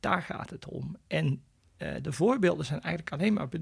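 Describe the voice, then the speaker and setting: A man speaking at a moderate pace. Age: 60s. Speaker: immunologist and professor. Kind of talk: interview.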